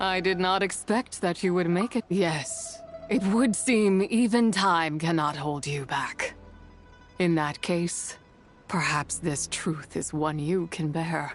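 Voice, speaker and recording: Against clear music in the background, a put-on character voice at a middle pitch moves at a fairly slow pace. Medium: video game. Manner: imperious, archaic, contemptuous.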